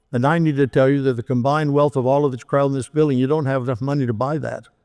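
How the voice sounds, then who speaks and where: Over a quiet background, a man rattles off words at a very fast pace in a fairly high pitch with monotone, flat intonation. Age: 70s. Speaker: pastor. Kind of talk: sermon.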